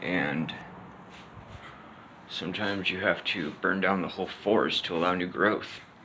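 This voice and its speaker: Over light background noise, a man with a very deep, low pitch speaks in fairly even intonation. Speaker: vlogger. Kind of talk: reflective casual vlog monologue. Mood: pensive, subdued. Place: home room. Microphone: phone near.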